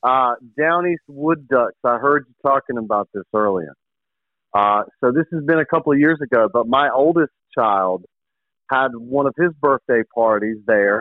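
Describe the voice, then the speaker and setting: A man's normal speaking voice at medium pitch, with an American accent, ordinary pitch variation and a moderate pace. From eastern North Carolina. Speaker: sports radio host. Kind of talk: casual chat.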